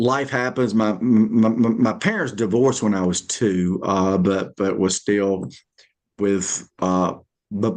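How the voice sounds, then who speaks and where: Someone with a Southern US accent talks at a very slow pace. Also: man, fairly low pitch for a man, ordinary pitch variation. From Alabama. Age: 50s. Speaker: stand-up comedian and motivational speaker. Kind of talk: interview. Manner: halting, repeated syllables.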